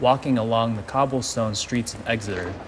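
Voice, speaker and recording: At a moderate pace, someone speaks with an American accent amid noticeable background noise and audible room echo. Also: man. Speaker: narrator. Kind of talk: scripted narration.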